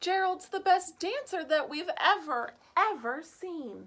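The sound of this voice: A woman's put-on character voice, extremely high and fairly bright, slow in pace with lively intonation.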